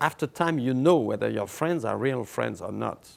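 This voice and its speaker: A man speaks with a French accent at medium pitch. The recording is very clean, with a silent background. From France. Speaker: writer. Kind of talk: interview answer.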